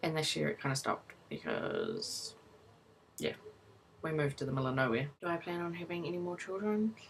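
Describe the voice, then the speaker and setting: Talking at a fairly quick pace with long, frequent pauses, a woman has a fairly low pitch and a New Zealand accent. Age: 20s. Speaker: vlogger, new mother. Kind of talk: casual personal vlog. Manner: casual, lots of fillers.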